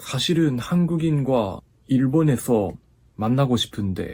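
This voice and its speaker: Speaking very slowly with a slight Japanese accent, a man has a dark, mellow, somewhat breathy tone and lively intonation. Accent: slight Japanese accent in Korean. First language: Japanese (speaking Korean). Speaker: YouTuber and Korean language learner. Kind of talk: casual vlog talk. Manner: halting, self-correcting.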